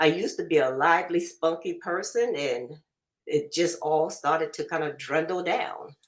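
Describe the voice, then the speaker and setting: In an unremarkable speaking voice, a woman talks at a moderate pace, fairly low in pitch with ordinary pitch variation. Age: 60s. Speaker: program client giving testimony. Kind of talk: testimony.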